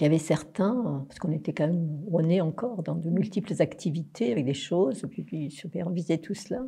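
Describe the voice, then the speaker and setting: This woman's voice is somewhat breathy. Its tone is dark and mellow. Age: 60s. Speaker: spiritual teacher. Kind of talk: interview.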